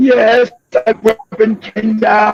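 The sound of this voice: A man puts on a character voice in a British accent. His pitch is high.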